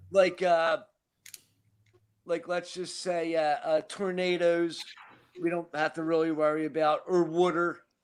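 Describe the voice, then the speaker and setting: Speaking at a fairly slow pace with long, frequent pauses, a man with a Philadelphia accent uses a high pitch and monotone, flat intonation. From Philadelphia, US Northeast. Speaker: recovering alcoholic. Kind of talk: casual chat.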